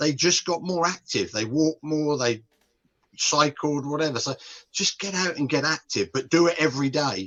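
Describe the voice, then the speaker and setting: A man with a British accent. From UK. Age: 60s. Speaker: nutrition and behaviour change expert. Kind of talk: podcast interview.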